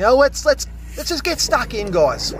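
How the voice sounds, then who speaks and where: Male speech with a dry, echo-free sound and light noise behind it. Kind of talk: casual vlog commentary. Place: garden. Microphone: phone near.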